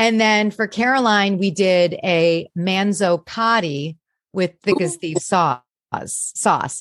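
A woman talks at a very slow pace with medium pitch, ordinary pitch variation and very even loudness. The sound is dry and close with no echo, over a quiet background. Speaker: comedian and impressionist. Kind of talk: casual chat.

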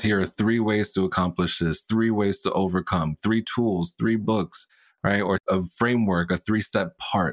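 A man with a fairly low pitch talks at a moderate pace, his intonation fairly even. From Puerto Rican American. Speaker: sales coach. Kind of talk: interview.

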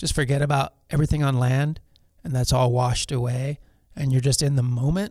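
Somewhat breathy, a man speaks at a fairly quick pace. His pitch is fairly high, with ordinary pitch variation. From Los Angeles, California. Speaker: pro surfer and foundation founder. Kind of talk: casual interview.

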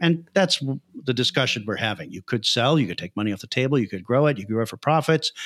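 Someone with an American accent talks at a very fast pace with lively intonation. The very clean recording has a silent background and a dry, close sound with no echo. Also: man, medium pitch for a man. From US Midwest, Chicago. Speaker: software entrepreneur and startup mentor. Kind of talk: podcast interview.

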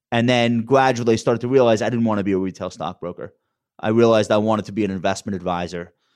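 Against a quiet background, a man with a Long Island accent talks at a very fast pace with fairly even intonation. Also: fairly low pitch for a man. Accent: Long Island accent, never trained away. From Long Island, New York. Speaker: wealth manager and TV commentator. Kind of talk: interview.

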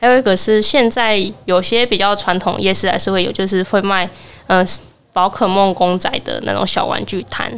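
Moderate pace, medium pitch and ordinary pitch variation in a woman's voice, a normal speaking voice. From Taiwan, Kaohsiung. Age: 20s. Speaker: university student. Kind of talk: interview, personal memories. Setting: live podcast booth at a festival.

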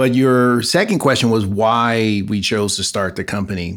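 A man speaks fairly slowly with an American accent, at a fairly low pitch and with ordinary pitch variation. He has an unremarkable speaking voice. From Los Angeles, South Central. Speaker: physician and biotech entrepreneur. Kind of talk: interview.

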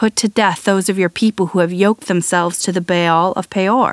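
With fairly even intonation and a moderate pace, a woman talks in an ordinary speaking voice. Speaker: Bible podcast host and reader. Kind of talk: reading aloud scripture, literary audiobook style. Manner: measured, solemn, steady; formal, gently reverent.

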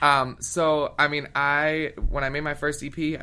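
This man's voice is high in brightness. Its tone is bright and sharp. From Philadelphia area, Pennsylvania, US. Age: 20s. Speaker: singer. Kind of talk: interview. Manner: animated.

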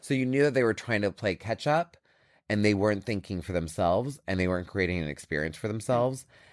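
Talking very fast, a man with a fairly low voice uses lively intonation and an animated tone. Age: 40s. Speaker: beauty brand founder and CEO. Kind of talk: interview.

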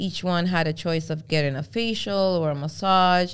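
Her voice is fairly low in pitch, with ordinary pitch variation and a Spanish accent. The woman keeps a moderate pace in a very clean recording with a silent background. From Venezuela, then Brooklyn from age eight. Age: 30s. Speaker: fashion influencer and stylist. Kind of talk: casual interview chat. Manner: animated.

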